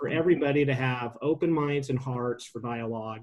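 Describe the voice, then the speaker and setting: A man speaks with a Pacific Northwest accent. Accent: General American (Pacific Northwest). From US Pacific Northwest (Sandy, Oregon). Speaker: city mayor chairing council meeting. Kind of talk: public meeting remarks. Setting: virtual meeting. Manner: hesitant, many fillers.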